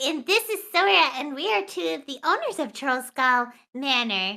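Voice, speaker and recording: At a moderate pace, a woman puts on a character voice, high-pitched with very wide pitch swings, in a very clean recording with a silent background. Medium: actual play. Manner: enthusiastic, chatty.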